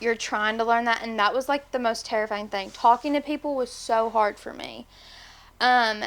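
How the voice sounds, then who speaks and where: Someone with a Tennessee accent speaks with fairly even intonation on a very clean recording with a silent background. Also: woman. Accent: Southern US (Tennessee). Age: 20s. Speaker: podcast guest, manager. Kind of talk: casual interview.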